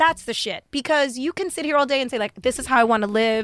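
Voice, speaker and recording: A woman's bright, sharp tone in an American accent, dry and close with no echo. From New York, the Bronx. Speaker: vegan event organizer. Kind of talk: casual chat. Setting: studio.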